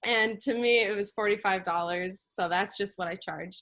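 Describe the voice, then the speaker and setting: A woman with an American accent at a medium pitch and moderate pace, with music in the background. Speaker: entrepreneur presenting startup. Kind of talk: business pitch presentation.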